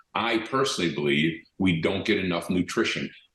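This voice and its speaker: His pitch is very deep and low. The man speaks at a moderate pace. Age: 70s. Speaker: company founder and direct selling executive. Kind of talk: interview. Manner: conversational with frequent fillers and repetitions.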